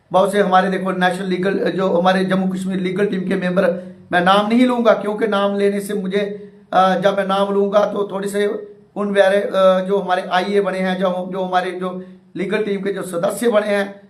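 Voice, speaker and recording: The intonation is monotone and flat. Noticeable background noise and audible room echo fill the recording. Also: man, high pitch for a man. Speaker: teacher union activist. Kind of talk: live stream address. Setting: live online session. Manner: halting, many fillers.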